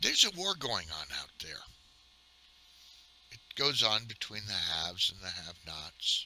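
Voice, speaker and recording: The man's voice sits at a medium pitch, with very wide pitch swings and big swings in loudness. He talks at a fairly slow pace with long, frequent pauses, over noticeable background noise. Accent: American. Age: 60s. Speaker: retired gamer vlogger. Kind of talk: casual monologue. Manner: halting.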